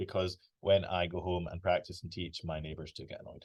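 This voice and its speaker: A man speaks with a Scottish accent in a somewhat breathy voice against a quiet background. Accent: British, Scottish. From Scotland. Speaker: flute professor. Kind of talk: online masterclass. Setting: video call from office. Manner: casual, chatty.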